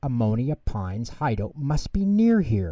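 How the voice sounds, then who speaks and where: A man puts on a character voice at a medium pitch. The recording is very clean, with a silent background. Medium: read story. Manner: brash, dramatic.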